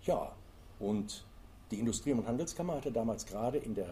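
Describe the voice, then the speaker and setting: This man's voice sits at a medium pitch, with a dark, mellow tone, vocal fry and lively intonation. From Germany, Eifel (Rhineland). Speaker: author and tour guide. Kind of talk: interview. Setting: library recording.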